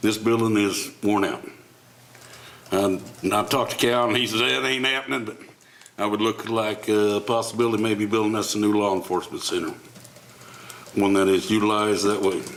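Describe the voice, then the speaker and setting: Long, frequent pauses break up speech delivered at a fairly quick pace with ordinary pitch variation, alongside audible room echo and noticeable background noise. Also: man, fairly low pitch for a man. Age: 60s. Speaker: city commissioner. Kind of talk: public meeting discussion.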